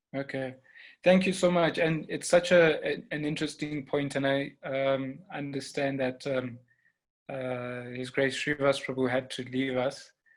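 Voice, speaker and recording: A man speaks in a Zulu accent at a medium pitch. His pace is fairly slow. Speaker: panel moderator. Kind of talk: online panel discussion. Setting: online conference.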